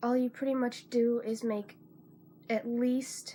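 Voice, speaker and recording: Quiet and very slow, a woman speaks at a fairly high pitch with fairly even intonation over noticeable background noise. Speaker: crafter, spinner. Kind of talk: casual talk to camera.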